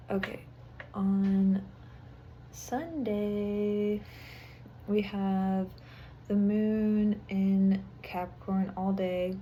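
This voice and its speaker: A woman's somewhat breathy, medium-pitched voice with a dark, mellow tone, long and frequent pauses, and audible room echo. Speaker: astrology and tarot reader. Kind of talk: weekly astrology forecast. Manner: casual, with many filler words.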